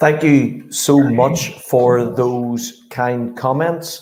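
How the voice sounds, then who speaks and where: A man with a Northern Irish accent speaks at a very slow pace and medium pitch, with fairly even intonation and audible room echo. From Northern Ireland, Belfast. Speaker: sports strategy consultant. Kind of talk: conference presentation. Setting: virtual summit.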